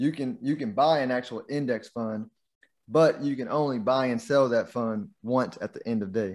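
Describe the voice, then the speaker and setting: A man with an American accent, an unremarkable speaking voice, medium pitch and ordinary pitch variation. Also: moderate pace. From Texas (Houston). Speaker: investment manager and podcast host. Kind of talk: interview, explaining investing.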